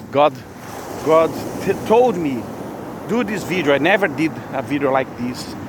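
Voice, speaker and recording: Someone speaks at a moderate pace with a Brazilian Portuguese accent. Noticeable background noise runs underneath. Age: 50s. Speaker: religious vlogger. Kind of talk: spontaneous spiritual monologue. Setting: outdoors. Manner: halting.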